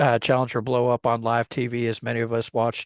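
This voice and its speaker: A man with a Texas accent speaks at a moderate pace and a medium pitch. The sound is dry and close with no echo, over a quiet background. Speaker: podcast host, former history teacher. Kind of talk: podcast monologue. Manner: casual, conversational; talkative.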